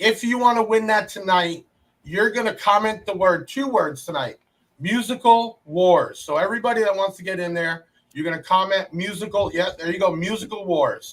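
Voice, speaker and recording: Speaking at a moderate pace, a man with a high pitch uses ordinary pitch variation. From South Florida. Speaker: podcast host and car audio business owner. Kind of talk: casual podcast chat. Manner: animated.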